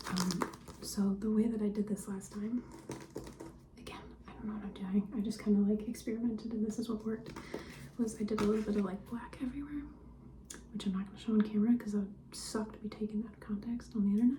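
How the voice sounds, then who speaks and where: A soft-spoken woman talks very fast at a fairly high pitch, monotone and flat, with long, frequent pauses. Her loudness swings widely over noticeable background noise. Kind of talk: ASMR vlog, casual talk to camera. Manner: soft-spoken, personal attention.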